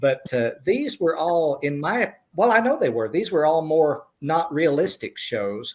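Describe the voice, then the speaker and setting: With a Southern US accent, a man talks at a moderate pace. His pitch is fairly high. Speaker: screenwriter. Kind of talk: panel interview.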